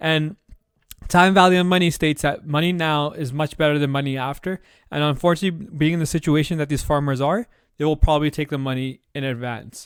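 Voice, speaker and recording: Intonation remains fairly even for this man. He talks at a very fast pace. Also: fairly high pitch for a man. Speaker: podcast host. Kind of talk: solo podcast commentary.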